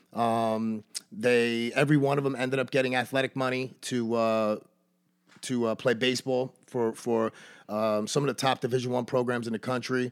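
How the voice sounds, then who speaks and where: In a New York accent, a man speaks at a moderate pace with monotone, flat intonation and very even loudness. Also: medium pitch for a man, very clean recording, silent background. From Brooklyn, New York City. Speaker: baseball coach. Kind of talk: casual chat.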